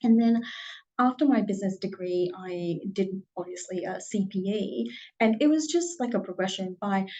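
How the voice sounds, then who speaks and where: Somewhat breathy, a woman speaks at a medium pitch and a moderate pace with lively intonation. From Burma. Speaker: career panel speaker. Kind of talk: career talk. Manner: hesitant, many fillers.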